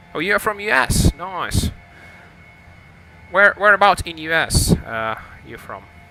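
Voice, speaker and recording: Music plays in the background while a man speaks in a high pitch with lively intonation. His loudness swings widely, and he pauses often and at length. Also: fairly slow pace. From Lithuania. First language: Lithuanian. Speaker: flight sim streamer. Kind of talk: live stream commentary. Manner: hesitant, many fillers.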